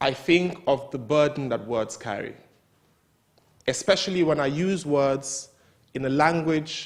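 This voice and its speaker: A man speaks with a Nigerian accent at a fairly slow pace. His pitch moves in an ordinary way. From northern Nigeria. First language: Hausa. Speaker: writer. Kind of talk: talk at a literary event.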